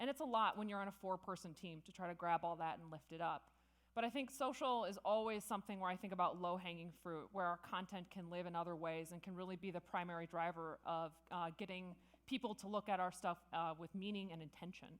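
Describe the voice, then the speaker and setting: Fairly quick pace with ordinary pitch variation. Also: woman, medium pitch for a woman. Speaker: conference speaker. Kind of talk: conference talk. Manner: fast.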